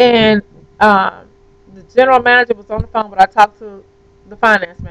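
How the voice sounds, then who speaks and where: A woman talks at a fairly quick pace, the sound dry and close with no echo. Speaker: vlogger. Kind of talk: vlog rant. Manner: fast.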